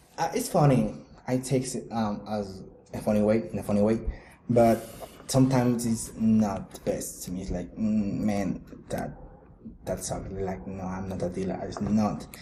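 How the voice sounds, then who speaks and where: In a Mexican accent, a man with a fairly low pitch talks at a moderate pace with ordinary pitch variation, and the room echo is audible. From Mexico. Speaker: podcast co-host. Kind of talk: casual chat.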